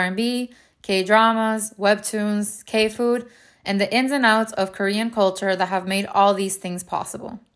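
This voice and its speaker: At a very slow pace, a woman speaks in a fairly high voice with fairly even intonation on a very clean recording with a silent background. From Venezuela and South Florida. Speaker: podcast host. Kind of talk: podcast trailer, scripted intro.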